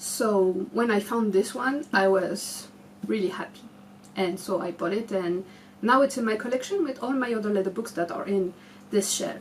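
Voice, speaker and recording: Over noticeable background noise, a woman with a French accent talks at a moderate pace and medium pitch, with ordinary pitch variation. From France. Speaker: booktube creator. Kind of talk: casual show-and-tell vlog. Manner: halting, many fillers.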